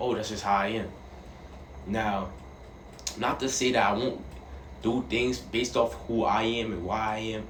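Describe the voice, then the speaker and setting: Amid audible room echo, a man speaks at a fairly low pitch with long, frequent pauses. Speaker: vlogger. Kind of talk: casual monologue. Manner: halting.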